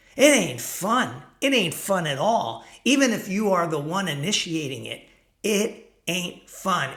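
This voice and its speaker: A man's raised, projected voice, bright and sharp in tone, with very wide pitch swings at a fairly slow pace, in audible room echo. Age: 60s. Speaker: self-help vlogger for men over 50. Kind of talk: casual talking-head monologue. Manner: conversational, with fillers.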